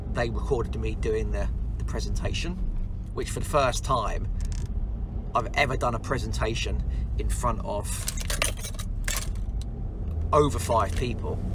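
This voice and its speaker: A man at a moderate pace with long, frequent pauses, dry sound with no echo, and noticeable background noise. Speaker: business owner vlogger. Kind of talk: casual vlog chat. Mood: upbeat, enthusiastic. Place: car. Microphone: phone near.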